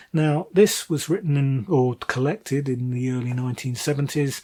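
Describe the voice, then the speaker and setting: Speaking with a British accent, a man uses fairly high pitch, ordinary pitch variation and a moderate pace. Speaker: book reviewer. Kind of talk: casual monologue review. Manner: hesitant, many fillers.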